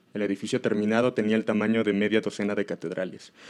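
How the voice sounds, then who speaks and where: This is a man's voice. He speaks at a very fast pace. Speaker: horror story narrator. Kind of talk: horror story narration.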